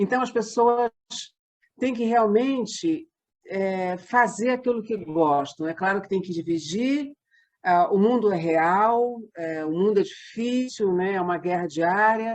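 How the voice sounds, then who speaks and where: Her pace is very slow. This woman has a medium pitch and lively intonation. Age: 60s. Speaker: theatre company member. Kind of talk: interview.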